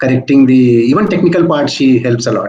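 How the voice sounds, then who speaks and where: This is a man with an Indian accent. His voice is somewhat breathy. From India, Hindi-speaking. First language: Hindi. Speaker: senior plastic surgeon. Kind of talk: interview.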